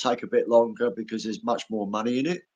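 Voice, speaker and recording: Talking at a fairly quick pace, this man has an Australian accent. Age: 60s. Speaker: animal rights activist. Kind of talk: live stream conversation. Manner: halting, repeats words.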